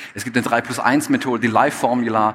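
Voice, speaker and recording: Talking at a very fast pace, a man with a slight Swabian accent keeps to a medium pitch. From Stuttgart, Swabia, Germany. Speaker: photographer and speaker. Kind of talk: stage talk. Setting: stage with audience.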